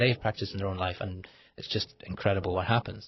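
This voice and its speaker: This man talks at a very fast pace with a fairly low pitch. His voice is somewhat breathy. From Liverpool, England. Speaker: author. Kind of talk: interview. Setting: radio studio. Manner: halting.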